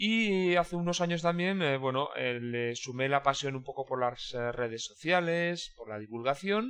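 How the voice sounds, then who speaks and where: Using a plain, everyday voice, a man talks at a fairly high pitch with lively intonation. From Basque Country, Spain (Irún). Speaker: logistics consultant. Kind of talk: interview.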